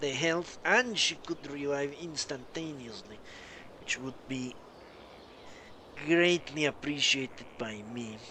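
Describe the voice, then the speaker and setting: Very slowly, a man with a South American accent speaks in a bright, sharp tone. His intonation is lively. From Colombia. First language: Spanish. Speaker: gaming streamer. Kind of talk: live gameplay commentary. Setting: live stream.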